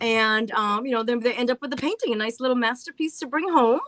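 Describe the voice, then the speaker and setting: A woman with a Massachusetts accent talks at a fairly quick pace. Her high pitch varies in an ordinary way, and her tone is bright and sharp. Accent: northern US, Massachusetts. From Massachusetts, an hour from Boston. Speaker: paint party artist and crafter. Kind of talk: casual chat.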